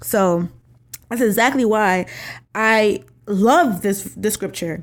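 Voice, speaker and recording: The recording is very clean with a silent background as a woman speaks at a medium pitch with an American accent and ordinary pitch variation. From New York. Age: 20s. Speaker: podcast host. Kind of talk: casual solo podcast talk.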